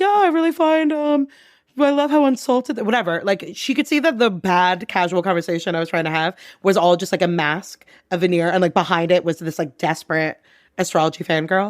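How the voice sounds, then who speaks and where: Loud and animated, a woman talks at a fairly quick pace, her pitch swinging very widely. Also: medium pitch for a woman, very clean recording, silent background. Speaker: comedian and advertising worker. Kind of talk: casual chat.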